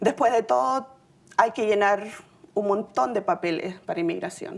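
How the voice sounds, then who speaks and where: A woman with a Chilean accent speaks at a moderate pace and medium pitch, her pitch swinging very widely. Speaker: city employee sharing immigrant story. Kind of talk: personal testimony speech.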